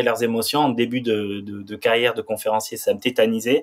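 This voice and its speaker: Here a man speaks in a monotone, flat intonation. His pace is moderate. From France, Pyrenees. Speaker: former pro snowboarder and public speaker. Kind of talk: podcast interview.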